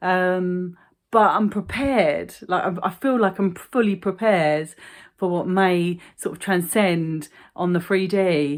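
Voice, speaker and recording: In a very clean recording with a silent background, a woman with a London accent speaks at a fairly slow pace, her medium pitch showing ordinary variation. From London, England. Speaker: vlogger. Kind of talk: casual monologue vlog. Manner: animated.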